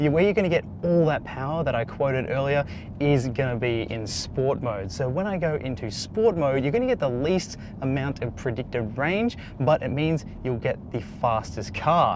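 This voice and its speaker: A man talks with an Australian accent and lively intonation. Noticeable background noise is present. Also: fairly high pitch for a man, moderate pace. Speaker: car reviewer. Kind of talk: product review. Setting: in a car.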